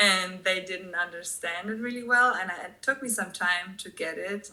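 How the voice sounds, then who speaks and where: A woman is speaking. She has a German accent. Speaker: expat tour guide. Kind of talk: podcast interview.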